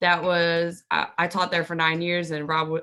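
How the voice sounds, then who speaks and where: A woman speaks loudly. Her pitch sits fairly low. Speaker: game show contestant. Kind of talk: casual chat.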